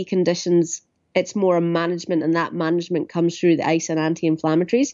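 Speaking at a fairly quick pace, a woman with a Scottish accent uses a fairly low pitch. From Ayrshire, southwest Scotland. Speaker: physiotherapist. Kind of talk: interview. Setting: phone call.

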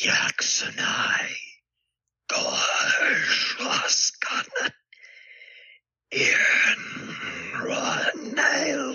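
A raspy, put-on character voice goes at a very slow pace. Long, frequent pauses break up the speech. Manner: eerie, invocatory.

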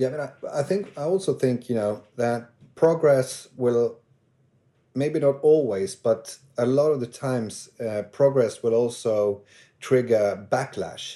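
In a Swedish accent, a man speaks fairly slowly at medium pitch with a dark, mellow tone and ordinary pitch variation over a quiet background. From northern Sweden. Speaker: actor. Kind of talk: casual chat. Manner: halting.

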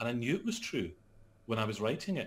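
A man with a Scottish accent talks at a fairly quick pace with vocal fry. His pitch swings very widely. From Scotland. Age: 40s. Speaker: actor and author. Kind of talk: interview. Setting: call.

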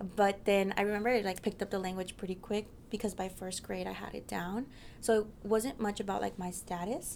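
A woman with an American accent talks at a fairly quick pace, her pitch medium and her intonation fairly even. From US Southwest, Mesa, Arizona. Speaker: university student. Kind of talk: interview. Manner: casual, frequent fillers like 'like' and 'um'.

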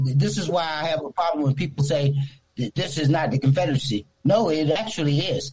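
A man with an American accent, fairly high-pitched and somewhat breathy, at a fairly quick pace with ordinary pitch variation. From Newport News, Virginia. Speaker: radio caller. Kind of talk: call-in comment.

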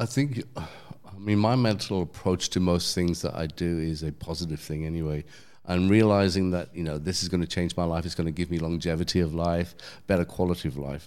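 A man with a London accent and very deep, low pitch talks at a fairly quick pace on a very clean recording with a silent background. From London, England. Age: 50s. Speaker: DJ and former cafe owner. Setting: in person at a gym.

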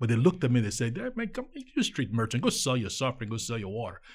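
A man with a Nigerian accent speaks in a somewhat breathy voice with lively intonation. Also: very clean recording, silent background. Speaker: nonprofit co-founder. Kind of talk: interview. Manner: animated.

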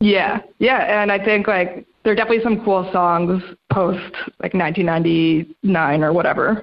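In an American accent, a woman with an ordinary speaking voice talks fairly slowly at medium pitch, with ordinary pitch variation and very even loudness. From New York. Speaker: freelance music writer. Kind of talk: interview. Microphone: audio echo in recording.

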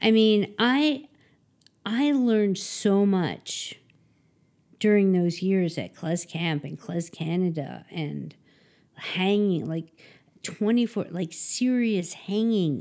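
A woman with a Philadelphia accent speaks very slowly with a dark, mellow tone and medium pitch. Her intonation is lively, broken by long, frequent pauses. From Philadelphia area, US. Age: 50s. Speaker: klezmer trumpet player. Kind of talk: casual interview chat.

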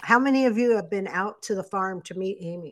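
A woman talks in an ordinary speaking voice at a medium pitch, her intonation lively. The recording is very clean, with a silent background. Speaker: co-host reading viewer questions. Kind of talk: casual chat. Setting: live video stream.

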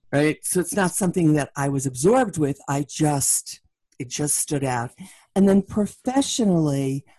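Dry and close with no echo, this voice has a dark, mellow tone, lively intonation, a moderate pace, and a New York accent. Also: woman, very deep, low pitch for a woman. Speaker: leadership keynote speaker. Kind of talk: interview conversation.

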